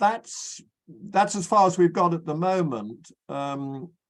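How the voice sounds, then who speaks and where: The background is silent in a very clean recording. Intonation rises and falls in a lively way. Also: man. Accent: British. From Britain. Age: 80s+. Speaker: physicist. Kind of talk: interview. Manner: halting, repeats words.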